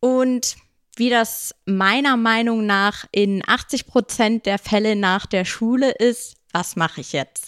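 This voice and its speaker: On a very clean recording with a silent background, a woman speaks at a very slow pace in a fairly high pitch, the sound dry and close with no echo. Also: ordinary pitch variation. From Germany, Bad Honnef near Bonn (raised partly in Munich). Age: 20s. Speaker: bridal shop owner. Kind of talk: casual interview. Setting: hotel.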